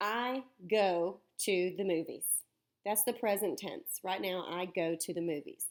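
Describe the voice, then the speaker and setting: With a Southern US accent, the speaker talks at a fairly slow pace with ordinary pitch variation on a very clean recording with a silent background. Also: woman. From US South. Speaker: teacher. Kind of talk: lecture. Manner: animated.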